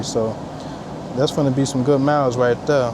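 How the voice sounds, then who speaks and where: A man with a fairly high pitch talks fairly quickly over noticeable background noise. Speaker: truck driver vlogger. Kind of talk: casual vlog. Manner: fast.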